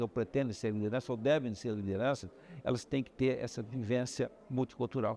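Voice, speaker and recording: Moderate pace and a dark, mellow tone from a man. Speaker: medical professor. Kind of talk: interview. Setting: medical congress.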